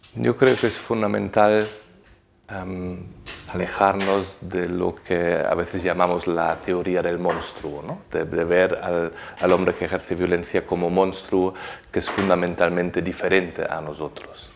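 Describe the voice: The voice has vocal fry and little pitch movement, going at a fairly slow pace. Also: man, low pitch for a man.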